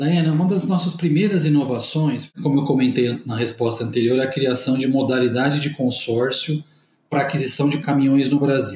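At a moderate pace, a man with a plain, everyday voice talks at a fairly high pitch with ordinary pitch variation. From Brazil, interior of São Paulo state. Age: 40s. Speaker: company executive. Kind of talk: corporate interview. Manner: formal.

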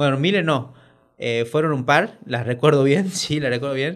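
Recorded very cleanly with a silent background, a man speaks at a medium pitch and a moderate pace with ordinary pitch variation. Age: 40s. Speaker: coach and ice therapy facilitator. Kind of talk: casual interview. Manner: halting.

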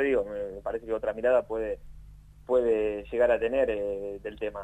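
Here a man talks with a Rioplatense accent. His pace is moderate. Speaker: sports journalist. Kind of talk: casual chat.

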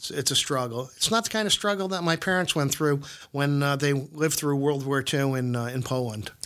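A man with an American accent uses a fairly high pitch, lively intonation and a bright, sharp tone at a moderate pace. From Bridgeport, Connecticut. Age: 60s. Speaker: guest, local businessman and developer. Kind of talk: casual interview conversation.

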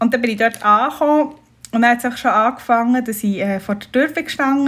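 Fairly high-pitched woman's voice, a plain, everyday voice, with ordinary pitch variation. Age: 30s. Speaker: bride-to-be. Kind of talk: casual chat.

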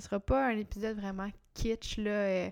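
With a Quebec accent, a woman speaks at a fairly slow pace and medium pitch in a dark, mellow tone, on a very clean recording with a silent background. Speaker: podcast host, entrepreneur. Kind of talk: solo podcast monologue. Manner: casual, hesitant with fillers.

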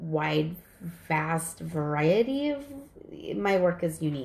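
A woman speaks with a fairly low pitch and a somewhat breathy voice. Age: 40s. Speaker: psychic medium. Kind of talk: casual chat.

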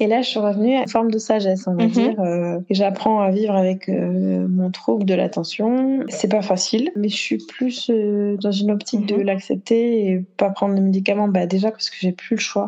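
A woman speaks at a moderate pace with fairly even intonation. Background noise can be noticed behind her. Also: medium pitch for a woman. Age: 30s. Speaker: stay-at-home mother and fashion content creator. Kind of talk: interview testimony.

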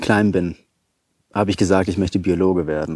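Talking very fast, a man uses a fairly low pitch, a dark, mellow tone and fairly even intonation. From Hesse, Germany (Taunus). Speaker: wildlife photographer and biologist. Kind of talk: casual interview.

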